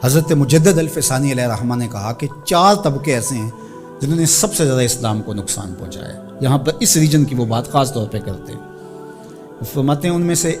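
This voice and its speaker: Lively intonation carries the voice over music in the background. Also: man. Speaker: Islamic preacher / religious speaker. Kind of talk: emotional religious sermon (bayan).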